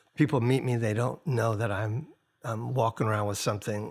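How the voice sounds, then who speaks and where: The speaker is a man with a medium-pitched, somewhat breathy voice. His intonation stays fairly even. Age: 60s. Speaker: singer-songwriter and record producer. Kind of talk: podcast interview. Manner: halting.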